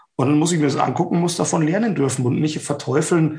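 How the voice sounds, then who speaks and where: This man's voice is fairly high-pitched and somewhat breathy. He speaks at a fairly quick pace. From Bavaria, Ingolstadt. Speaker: event safety expert. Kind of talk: casual interview.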